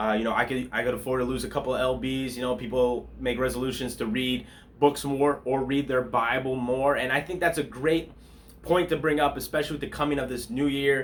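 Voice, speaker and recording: A man talks at a fairly quick pace and medium pitch. His intonation stays fairly even. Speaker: pastor. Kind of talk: devotional bible talk. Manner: fast; casual, conversational.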